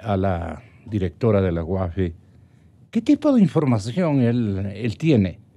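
The man's tone is dark and mellow, and his intonation is lively. He speaks at a very slow pace. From Ecuador. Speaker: TV host interviewer. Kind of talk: political interview and panel discussion. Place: studio. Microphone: studio mic.

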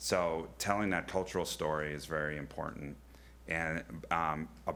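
A man speaks at a moderate pace in a very deep, low voice with a bright, sharp tone and fairly even intonation. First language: not English. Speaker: zoo director. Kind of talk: public presentation. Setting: county board meeting.

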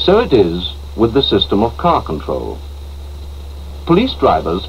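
Light noise sits behind a man as he talks. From England. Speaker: film narrator. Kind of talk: 1960s public information film narration, scripted voice-over. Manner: formal, measured, authoritative, crisp mid-century British delivery; brisk and earnest with a slightly dry, persuasive tone. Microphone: old recording.

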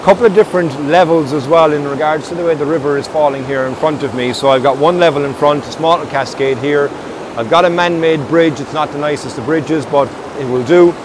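A man at a fairly quick pace with fairly even intonation, over noticeable background noise. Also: dry sound with no echo. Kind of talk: casual vlog chat. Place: waterside.

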